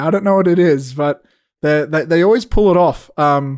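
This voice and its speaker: Over a quiet background, a man with an Australian accent talks at a fairly quick pace and a high pitch, with ordinary pitch variation. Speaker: podcast co-host and filmmaker. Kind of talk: casual chat.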